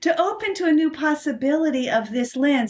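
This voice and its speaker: Noticeable background noise under a woman speaking with lively intonation. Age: 60s. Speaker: human design coach and author. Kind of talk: interview.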